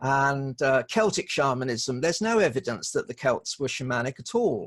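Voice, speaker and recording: Lively in intonation, a man speaks at a fairly high pitch and a moderate pace. The sound is dry and close, with no echo. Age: 60s. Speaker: shamanic practitioner and magazine editor. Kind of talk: interview. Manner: halting, many repetitions.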